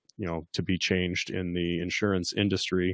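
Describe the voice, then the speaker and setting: His voice sits very deep and low in pitch. The man keeps a moderate pace. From Kentucky. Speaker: physician assistant and army veteran. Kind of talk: interview.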